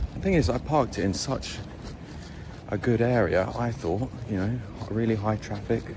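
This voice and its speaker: With a British accent and a moderate pace, the speaker is heard through noticeable background noise and audible room echo. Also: man. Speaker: travel vlogger. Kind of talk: casual vlog talk to camera.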